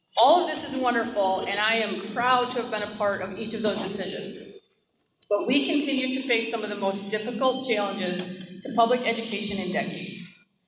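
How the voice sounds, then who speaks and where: Speech moves at a fairly quick pace with ordinary pitch variation, and audible room echo is present. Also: woman, fairly high pitch for a woman. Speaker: school board candidate. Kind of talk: campaign closing statement. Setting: public forum in school. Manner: animated.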